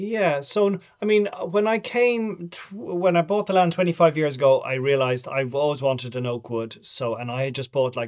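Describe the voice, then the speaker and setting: A man at a moderate pace, with lively intonation. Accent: Dublin. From Ireland, Dublin. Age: 50s. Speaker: writer and documentary maker. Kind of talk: casual interview.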